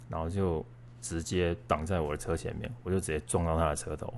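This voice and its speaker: Here a man talks at a moderate pace. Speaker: podcast co-host. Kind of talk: personal storytelling. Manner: casual with many filler sounds.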